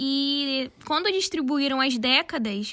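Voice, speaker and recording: A woman speaks in a raised, projected voice. Her pitch is high and her tone bright and sharp. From Brazil, São Gonçalo (Rio de Janeiro state). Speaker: fashion designer and content creator, podcast co-host. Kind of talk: casual chat.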